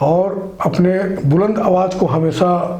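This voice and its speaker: A man's voice with audible room echo. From India, Chhattisgarh (Mahasamund area). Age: 60s. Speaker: social worker. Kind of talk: interview.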